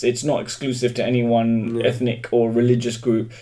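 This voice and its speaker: A man with a London accent, medium pitch and a fairly quick pace. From England, London. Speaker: stand-up comedian. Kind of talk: casual chat.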